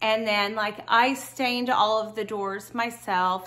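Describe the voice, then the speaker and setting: A woman talks very slowly. Her tone is bright and sharp. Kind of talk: casual vlog chat. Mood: warm, friendly. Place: home room. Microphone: lapel.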